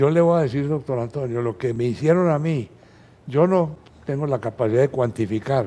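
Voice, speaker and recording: A man speaks with a dark, mellow tone at a medium pitch. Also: ordinary pitch variation, moderate pace. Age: 80s+. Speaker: physician, ophthalmologist. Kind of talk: interview.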